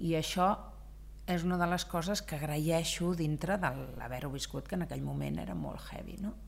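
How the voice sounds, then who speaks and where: Echo from the room is audible. The talking proceeds at a moderate speed. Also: woman. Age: 50s. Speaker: business owner. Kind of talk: interview. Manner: loud; animated.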